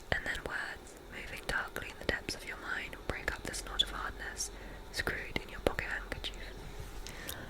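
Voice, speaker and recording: Whispering at a fairly slow pace, a woman speaks in a gentle tone over noticeable background noise. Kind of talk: literary reading of a novel. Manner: soft, relaxing, gentle.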